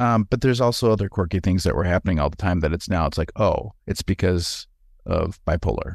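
With a Wisconsin accent, a man talks at a fairly quick pace in a very deep, low pitch, his pitch variation ordinary and loudness very even, on a very clean recording with a silent background. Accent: Wisconsin Upper Midwest, noticeable vowels. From Wisconsin, US. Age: 40s. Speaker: former pastor, healthcare administrator. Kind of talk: casual conversational interview.

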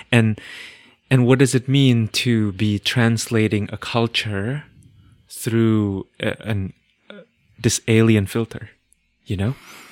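Delivered very slowly in a non-native accent, the speech has long, frequent pauses and fairly even intonation, in a very clean recording with a silent background. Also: man, medium pitch for a man. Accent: foreign-accented English. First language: not English. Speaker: podcast host and astrologer. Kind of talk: casual conversation.

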